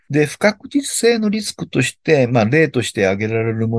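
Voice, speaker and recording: Against a quiet background, a man talks at a moderate pace. His pitch swings very widely. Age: old. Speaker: labor and social security consultant. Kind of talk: expert explainer interview. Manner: many fillers, relaxed.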